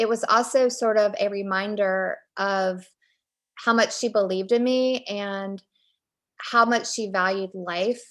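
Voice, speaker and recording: A woman with a plain, everyday voice, medium pitch and fairly even intonation, speaking at a fairly slow pace against a quiet background. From Virginia, Richmond. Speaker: author. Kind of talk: interview.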